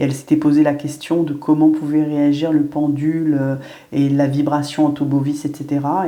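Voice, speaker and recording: A woman's voice, very deep and low, has a dark, mellow tone and monotone, flat intonation, with audible room echo. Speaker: medium and spiritual guide. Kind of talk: spiritual guidance monologue. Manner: hesitant, many fillers.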